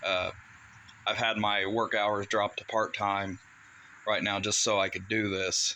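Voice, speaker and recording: A man with an American accent speaks fairly slowly in a bright, sharp tone. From US Midwest (southern Ohio). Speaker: political candidate and military veteran. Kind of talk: casual vlog update. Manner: hesitant, frequent uh fillers.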